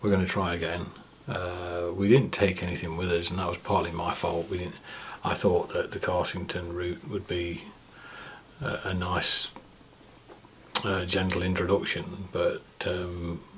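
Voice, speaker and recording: Light background noise sits behind a man with a very deep, low pitch. He speaks in a monotone, flat way with long, frequent pauses. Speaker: cycling vlogger. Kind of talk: casual vlog chat. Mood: reflective, somewhat sober. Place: home room.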